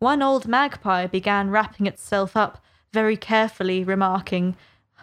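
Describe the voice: Plain reading aloud with ordinary pitch variation sits over a quiet background.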